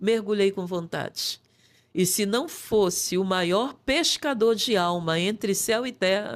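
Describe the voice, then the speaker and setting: A woman at a very slow pace, medium-pitched, with ordinary pitch variation. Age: 60s. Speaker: pastor. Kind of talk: testimony.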